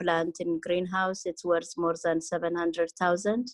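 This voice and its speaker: In a non-native accent, a woman with a fairly low pitch speaks with fairly even intonation, the sound dry and close with no echo. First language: not English. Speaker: greenhouse owner. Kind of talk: community video meeting. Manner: halting.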